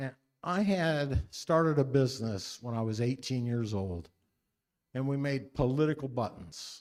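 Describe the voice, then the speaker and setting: With a Midwestern American accent, a man speaks at medium pitch and with lively intonation. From US Midwest, Henry County, Indiana. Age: 60s. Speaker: political candidate. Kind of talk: campaign speech at a forum.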